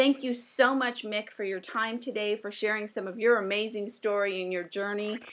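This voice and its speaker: Fairly high-pitched, a woman speaks in a plain, everyday voice at a moderate pace with hardly any pauses. Her intonation is fairly even. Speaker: radio show host. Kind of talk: interview. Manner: formal.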